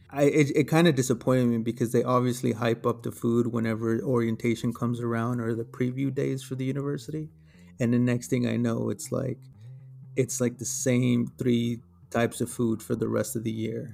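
A man with an American accent at medium pitch, fairly quick and monotone, flat in intonation, with music in the background. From Texas. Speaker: podcast co-host. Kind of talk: casual chat.

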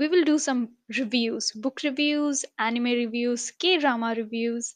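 With a quiet background, a woman speaks at a very slow pace in a high pitch with ordinary pitch variation. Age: 20s. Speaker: podcast host. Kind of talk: solo podcast monologue.

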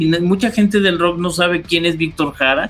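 This man's voice sits high in pitch, with ordinary variation in it. He talks at a moderate pace. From Mexico City (Coyoacán). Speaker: radio producer and announcer. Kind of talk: casual chat. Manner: halting, repeats words.

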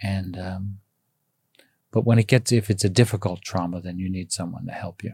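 A man speaks in an American accent, somewhat breathy, with a dark, mellow tone. His intonation is fairly even, broken by long, frequent pauses. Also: fairly low pitch for a man, moderate pace. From United States. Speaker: energy healer. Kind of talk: casual interview. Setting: in person.

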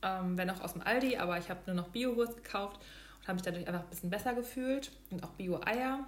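A woman speaks at a fairly quick pace, her medium pitch showing ordinary variation. Audible room echo and noticeable background noise fill the recording. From Hesse, Germany (near Darmstadt). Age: 30s. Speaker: product manager and vegan food blogger. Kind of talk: casual interview chat.

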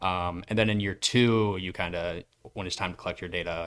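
A very deep, low-pitched man's voice with an American accent and monotone, flat intonation. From US Midwest, Iowa (Cedar Rapids). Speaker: sports science lab intern, grad student. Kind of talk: casual chat.

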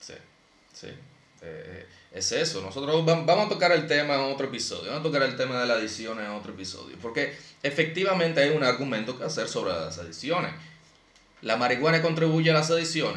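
A man talks fairly quickly with lively intonation, his voice carrying audible room echo against noticeable background noise. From Dominican Republic. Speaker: podcast host. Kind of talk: casual chat.

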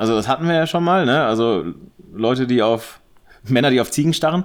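A man at medium pitch with very wide pitch swings, in a very clean recording against a silent background. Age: 30s. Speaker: photographer. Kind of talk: casual chat. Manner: halting.

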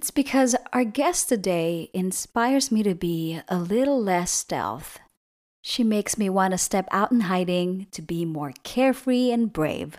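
In a very clean recording with a silent background, a woman with an American accent speaks at a fairly slow pace. Hers is an unremarkable speaking voice at medium pitch, with lively intonation. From outside the US. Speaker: podcast host. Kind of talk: scripted narration.

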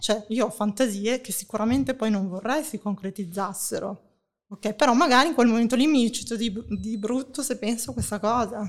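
At a fairly high pitch, a woman with an unremarkable speaking voice speaks at a moderate pace with ordinary pitch variation. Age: 40s. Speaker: sex blogger. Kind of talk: casual chat. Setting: online audio room.

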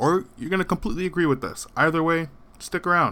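A man speaks very fast in a bright, sharp, confident tone. The recording is very clean, with a silent background. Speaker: podcast host. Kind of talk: casual banter podcast. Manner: confident, joking.

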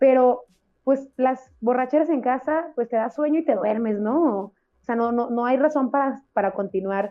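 A woman's high-pitched voice at a moderate pace with ordinary pitch variation. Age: 30s. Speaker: podcast co-host. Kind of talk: casual chat.

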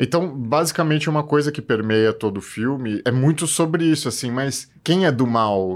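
A man talks at a moderate pace and medium pitch with ordinary pitch variation and hardly any pauses, in a very clean recording with a silent background. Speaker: film director and cinephile co-host. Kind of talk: casual chat.

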